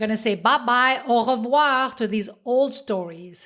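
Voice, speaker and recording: A woman with a slight French accent speaks at a fairly slow pace on a very clean recording with a silent background. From French-speaking Switzerland. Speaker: podcast host, self-help coach. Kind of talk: motivational podcast monologue.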